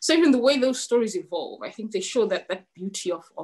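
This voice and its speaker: Against a quiet background, a woman with a high pitch talks at a fairly quick pace, her dark, mellow tone moving through very wide pitch swings. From Zimbabwe. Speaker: novelist; guest. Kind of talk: author interview with reading aloud. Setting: webinar video call. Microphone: video call.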